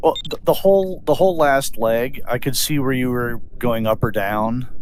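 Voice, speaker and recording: A man speaks in a normal speaking voice, medium in pitch. His pace is moderate and his intonation lively. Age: 50s. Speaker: glider pilot in sim race. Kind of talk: casual chat.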